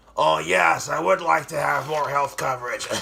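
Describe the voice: A raspy, put-on character voice. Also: man, medium pitch for a man, moderate pace.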